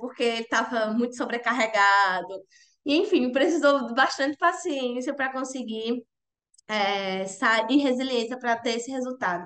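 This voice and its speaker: This woman talks at a moderate pace in a high pitch, with ordinary pitch variation. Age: 20s. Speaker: journalist. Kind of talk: interview testimony. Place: home room. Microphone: earbuds.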